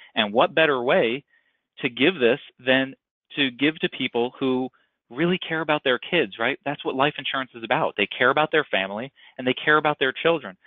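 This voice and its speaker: The speaker has a plain, everyday voice and talks at a fairly quick pace. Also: man, fairly high pitch for a man, ordinary pitch variation. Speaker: insurance brokerage manager. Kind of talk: sales webinar presentation. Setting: webinar call.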